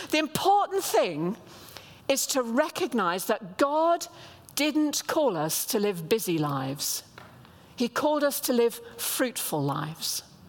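A woman speaks very slowly at a high pitch, with very wide pitch swings. Noticeable background noise runs underneath. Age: 70s. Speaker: guest preacher. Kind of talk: sermon. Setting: church with congregation.

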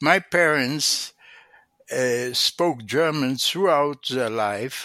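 A man speaks at a very slow pace with a bright, sharp tone and ordinary pitch variation. His pitch is medium, and the sound is dry and close with no echo. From Israel, Tel Aviv. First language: Hebrew. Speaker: economics professor emeritus. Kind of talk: interview. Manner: halting.

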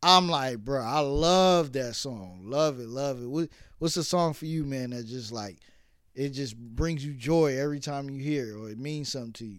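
A man with an ordinary speaking voice and an American accent talks at a moderate pace and fairly high pitch, his loudness swinging widely. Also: ordinary pitch variation, very clean recording, silent background. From New York (Brooklyn). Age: 30s. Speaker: podcast host. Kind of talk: casual chat.

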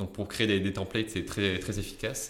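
Very deep, low male tones delivered fairly quickly. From southern France (Marseille area). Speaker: junior software developer. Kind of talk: interview. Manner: halting.

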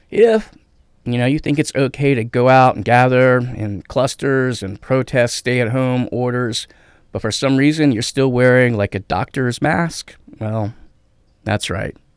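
Recorded very cleanly against a silent background, the sound is dry and close with no echo. A man at medium pitch speaks fairly slowly with ordinary pitch variation, in a plain, everyday voice. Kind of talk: stand-up style riff of 'you might be a dumbass' jokes.

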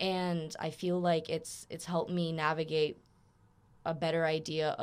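A woman with an American accent talks on a very clean recording against a silent background. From Florida, with years in Germany and Austria. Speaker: veterinary student. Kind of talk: casual chat. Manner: loud.

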